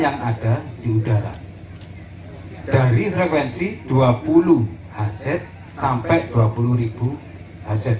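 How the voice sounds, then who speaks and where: Speech comes at a very slow pace with long, frequent pauses and lively intonation. Noticeable background noise and audible room echo fill the recording. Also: man. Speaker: sound system operator teaching a workshop. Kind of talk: workshop lecture. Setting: community gathering, outdoor field with audience. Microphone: poor recorded sound quality.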